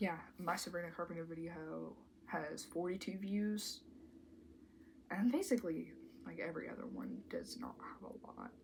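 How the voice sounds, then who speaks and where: Soft-spoken delivery with vocal fry, lively intonation, big swings in loudness, a moderate pace and long, frequent pauses. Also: woman, medium pitch for a woman. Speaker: commentary YouTuber. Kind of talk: casual vlog commentary.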